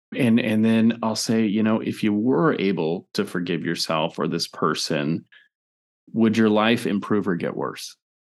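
A man speaks at a fairly slow pace in a fairly low pitch, with ordinary pitch variation. The background is quiet. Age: 40s. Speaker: licensed therapist and author. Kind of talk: interview.

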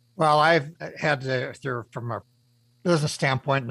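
On a very clean recording with a silent background and a dry, close sound with no echo, a somewhat breathy man talks at medium pitch and a very fast pace. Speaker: radio show host and business mentor. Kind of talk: radio interview.

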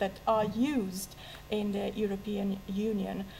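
A woman is speaking. She has an Italian accent. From Italy. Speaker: Italian literature lecturer. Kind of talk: public debate talk. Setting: stage with audience. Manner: halting.

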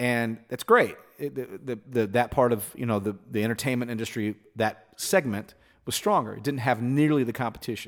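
A man with an ordinary speaking voice talks at a moderate pace and medium pitch with ordinary pitch variation. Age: 40s. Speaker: musician. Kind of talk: casual chat. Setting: home recording studio.

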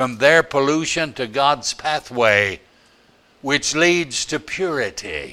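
At a very slow pace, a man speaks in a bright, sharp tone with ordinary pitch variation. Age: old. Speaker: preacher. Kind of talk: sermon. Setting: church. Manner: animated, emphatic pulpit delivery, driving home points by repeating phrases; alliterative, rhythmic, building to a crescendo.

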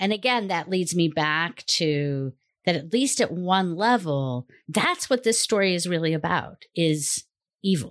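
It's a plain, everyday voice: a woman with a fairly low pitch and lively intonation. She goes at a fairly slow pace on a very clean recording with a silent background. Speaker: Jungian analyst, co-host. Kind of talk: educational conversation, analytical discussion.

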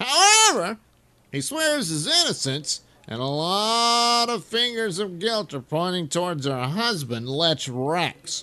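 A man puts on a character voice with very wide pitch swings. He speaks at a fairly slow pace.

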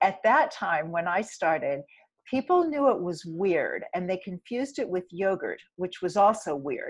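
Her pitch medium and swinging very widely, a woman speaks at a fairly slow pace. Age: 60s. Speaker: plant-based diet author and advocate. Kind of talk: interview conversation.

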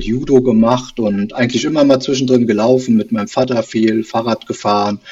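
Here a man speaks in a normal speaking voice at medium pitch. His pace is moderate. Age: 40s. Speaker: amateur runner, listener. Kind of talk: casual interview.

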